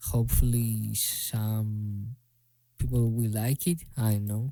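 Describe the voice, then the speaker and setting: A man with a Greek accent speaks at a very slow pace in a medium pitch, his monotone, flat delivery somewhat breathy, his tone dark and mellow, and the sound dry and close with no echo. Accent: Greek accent, self-described as bad. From Greece. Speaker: music producer. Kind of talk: casual tutorial. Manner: halting, filler-heavy.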